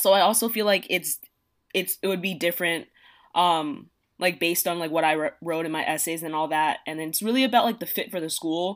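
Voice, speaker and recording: In an American accent, a woman with a normal speaking voice talks at a fairly quick pace and fairly low pitch, with ordinary pitch variation on a very clean recording with a silent background. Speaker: college student. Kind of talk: casual chat.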